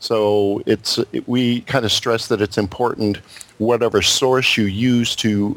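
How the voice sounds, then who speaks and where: A man with an American accent speaks in a normal speaking voice. His pitch is fairly low, with ordinary variation. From Wisconsin. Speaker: co-host.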